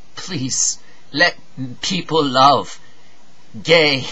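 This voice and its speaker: At a very slow speed, the pitch varies in an ordinary way. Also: man. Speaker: actor. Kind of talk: dramatic monologue. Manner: impassioned, pleading. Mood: anguished, pleading. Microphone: webcam.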